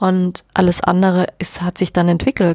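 A woman with a fairly low pitch talks at a moderate pace in an ordinary speaking voice, the sound dry and close with no echo. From rural Germany. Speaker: podcast host, sex coach. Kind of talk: personal storytelling monologue.

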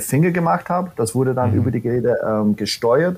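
This man has an American accent. His voice sits at a medium pitch. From US, New York City. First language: English (speaking German). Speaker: corporate training manager. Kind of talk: podcast interview. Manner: halting, many fillers.

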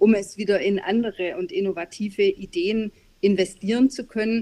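A woman speaks in an unremarkable speaking voice at a fairly high pitch, with ordinary pitch variation. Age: middle-aged. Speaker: business advisory board member and consultant. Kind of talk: interview.

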